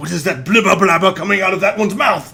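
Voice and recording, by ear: A man uses a put-on character voice, high in pitch, with a bright, sharp tone and vocal fry. He talks at a fast pace with ordinary pitch variation.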